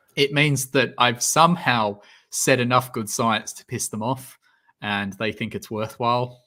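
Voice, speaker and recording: With an Australian accent, a man speaks fairly slowly at a medium pitch with ordinary variation, his tone bright and sharp. His loudness swings a lot, and the recording is very clean over a silent background. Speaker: science YouTuber, PhD student. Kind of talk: livestream Q&A chat. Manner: hesitant, many fillers.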